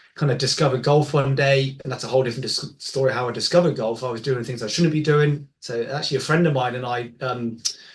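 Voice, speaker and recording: A man with an English accent, somewhat breathy, at a very fast pace with hardly any pauses. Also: medium pitch for a man, fairly even intonation. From England. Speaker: golf biomechanics expert. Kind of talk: interview conversation. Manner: halting, many fillers.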